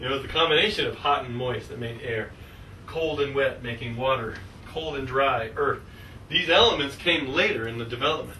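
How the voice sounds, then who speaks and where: Talking very fast over noticeable background noise, this man has a medium-pitched voice with ordinary pitch variation. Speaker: astrologer. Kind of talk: astrology class lecture.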